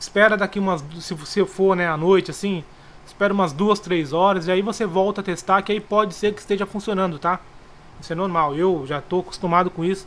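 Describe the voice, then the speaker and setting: Pitched high, a man talks at a fairly quick pace with fairly even intonation. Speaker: trading tutorial youtuber. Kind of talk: tutorial. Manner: casual.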